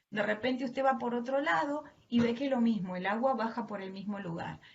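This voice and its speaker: A woman with a strong Argentine accent speaks at a moderate pace, her fairly high voice showing ordinary pitch variation. There is audible room echo. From Argentina. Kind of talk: sermon. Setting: video call.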